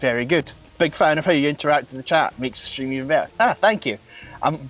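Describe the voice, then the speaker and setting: Very fast speech from a man at fairly high pitch, ordinary pitch variation, over noticeable background noise. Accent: strong Scottish. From Scotland, west. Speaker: vtuber streamer. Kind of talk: casual live stream chat with gameplay. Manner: halting, many fillers.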